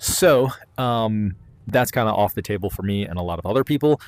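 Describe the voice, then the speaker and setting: In a very clean recording with a silent background, a man talks at a fairly low pitch. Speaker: VR gaming YouTuber. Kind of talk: casual solo commentary. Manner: fast; rambling with many fillers.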